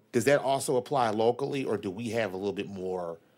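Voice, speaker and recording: This man's pitch varies in an ordinary way. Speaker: city councilmember, vice chair. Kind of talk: formal council committee meeting.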